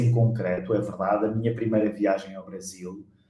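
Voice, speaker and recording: A man is speaking. There is audible room echo. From Portugal. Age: 40s. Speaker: pastor and author. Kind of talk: interview conversation.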